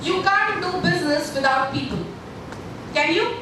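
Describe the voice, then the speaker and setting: Projecting a raised voice, a woman speaks at a moderate pace. Audible room echo and noticeable background noise fill the recording. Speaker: workshop trainer. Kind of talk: workshop lecture. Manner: animated.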